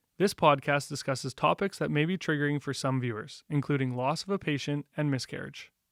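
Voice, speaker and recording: A man talks at a fairly quick pace with hardly any pauses, in a normal speaking voice pitched fairly high with ordinary pitch variation. The sound is dry and close with no echo, and the recording is very clean over a silent background. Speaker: podcast host. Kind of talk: scripted podcast intro.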